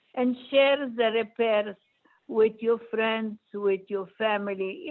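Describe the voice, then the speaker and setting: A woman speaks at a very slow pace with a non-native accent. Her pitch is fairly high. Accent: foreign. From Poland. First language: not English. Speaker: Holocaust survivor speaker. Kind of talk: Q&A answer to students.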